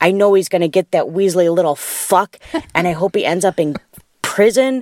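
Recorded with a dry, close sound and no echo, a woman speaks at a medium pitch with lively intonation. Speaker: caller. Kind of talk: recorded voicemail message. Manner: casual, profane.

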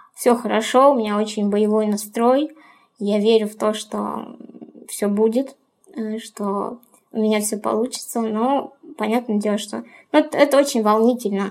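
Fairly high-pitched, a woman speaks at a fairly slow pace with fairly even intonation. She leaves long, frequent pauses. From Ukraine. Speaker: business coordinator. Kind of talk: personal monologue.

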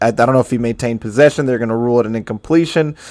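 Pitch variation is ordinary. The speaker is a man. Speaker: podcast host. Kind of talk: sports recap, play-by-play breakdown of a game. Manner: animated, conversational, excited.

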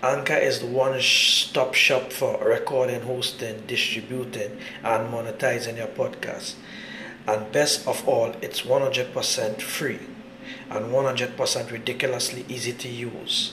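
Speech comes at a very slow pace. Noticeable background noise is present. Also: man. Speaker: podcast host, soca music DJ. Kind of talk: radio dj patter, intro and outro.

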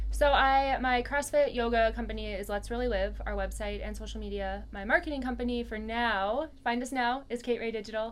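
Noticeable background noise sits behind a woman's voice. She talks at a fairly quick pace with hardly any pauses. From US, moved around (Virginia, Minnesota). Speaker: business owner and CrossFit coach. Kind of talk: casual interview.

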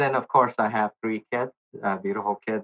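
A plain, everyday voice from a man, fairly low-pitched with ordinary pitch variation, at a moderate pace. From US South, Nashville, Tennessee. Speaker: volunteer and utility engineer. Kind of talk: interview.

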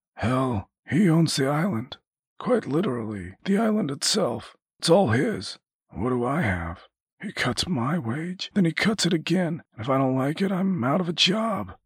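Putting on a raspy character voice, a man speaks at a fairly high pitch and a moderate pace with very wide pitch swings. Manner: bitter, earnest, aggrieved.

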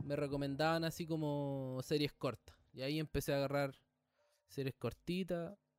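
The voice moves at a moderate pace with fairly even intonation, recorded with a dry, close sound and no echo. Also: man, fairly high pitch for a man. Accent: Chilean. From Chile. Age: 20s. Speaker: podcast host. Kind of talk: casual chat.

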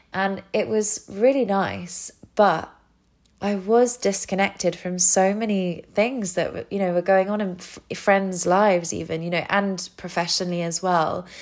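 A woman with a British accent and a medium pitch speaks at a fairly slow pace in a very clean recording with a silent background. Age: 30s. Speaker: yoga teacher. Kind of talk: casual interview chat.

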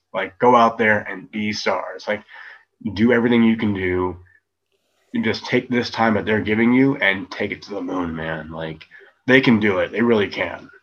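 A man with a plain, everyday voice speaks at a moderate pace, his pitch fairly low and his pitch variation ordinary. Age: 30s. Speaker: professional wrestler. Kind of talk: casual interview.

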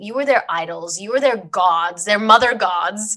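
Speaking with a slight Australian accent, a woman talks at a moderate pace in a fairly high pitch. Her tone is bright and sharp, and her intonation is lively. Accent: very slight Australian. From Sydney, Australia. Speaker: podcast host. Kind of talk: interview.

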